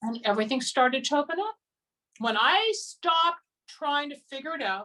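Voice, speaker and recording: Raised and projected, a woman's high voice carries a bright, sharp tone, swinging very widely in pitch at a moderate pace. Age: 60s. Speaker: psychic healer. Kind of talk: interview.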